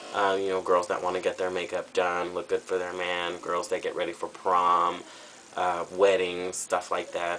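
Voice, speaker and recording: Noticeable noise runs in the background. A man with an American accent speaks at a moderate pace. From Southern California. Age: 20s. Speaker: drag performer auditioning. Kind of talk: audition video monologue. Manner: casual, with fillers.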